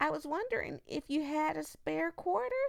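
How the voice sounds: A put-on character voice, female-sounding and high-pitched, delivered at a moderate pace.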